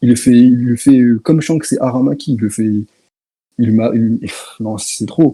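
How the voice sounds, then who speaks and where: Speaking at a fairly slow pace, a man uses a medium pitch with ordinary pitch variation and a dark, mellow tone. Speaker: online debater. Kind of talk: heated debate. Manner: soft-spoken.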